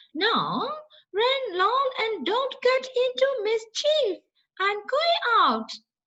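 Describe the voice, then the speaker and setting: A woman's put-on character voice, squeaky and extremely high-pitched, at a very slow pace. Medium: read story.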